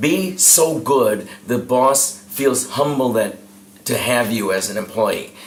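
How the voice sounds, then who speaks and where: Over noticeable background noise and audible room echo, a man speaks very slowly at a medium pitch with ordinary pitch variation. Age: 60s. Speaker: professional speaker and sales trainer. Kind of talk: interview.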